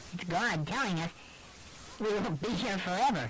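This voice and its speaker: A put-on character voice at a middle pitch, over clear background noise. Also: moderate pace. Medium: audio drama. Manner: gentle, reassuring.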